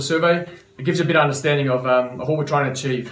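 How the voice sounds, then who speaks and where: This is a man's voice. Echo from the room can be heard. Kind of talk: business update to members. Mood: warm, grateful. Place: office. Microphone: camera far.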